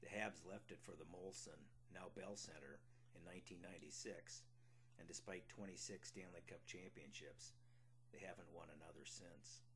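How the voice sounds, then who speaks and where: The speech has a Minnesotan accent and lively intonation. It unfolds at a fairly slow pace. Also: man, fairly low pitch for a man. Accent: Minnesota. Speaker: memoir author. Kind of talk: reading aloud of a memoir.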